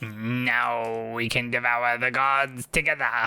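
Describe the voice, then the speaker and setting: A put-on character voice, low-to-middle in pitch, flat and monotone at a fairly slow pace. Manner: eerie, unsettling.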